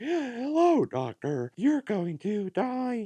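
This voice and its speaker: A put-on, robotic character voice at a fairly high pitch sounds strained, crawling at a very slow pace with very wide pitch swings. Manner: menacing.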